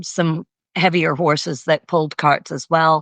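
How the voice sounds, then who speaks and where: The dry, close sound has no echo as a woman with a slight Canadian accent speaks over a quiet background. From Canada. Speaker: equestrian coach. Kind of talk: interview.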